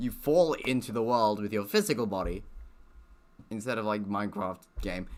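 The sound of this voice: This man has a fairly low pitch, ordinary pitch variation and a fairly bright tone, talking at a moderate pace.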